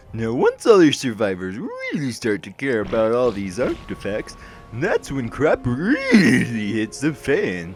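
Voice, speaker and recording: Over clear music in the background, a put-on character voice moves at a fairly slow pace. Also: man. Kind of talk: game lore narration in character. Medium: read story. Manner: rambling, jokey.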